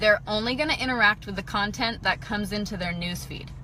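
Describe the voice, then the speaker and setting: A woman speaks in an animated tone with a fairly high pitch and ordinary pitch variation. Noticeable background noise can be heard. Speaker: direct sales consultant. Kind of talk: live video training. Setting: in a parked car.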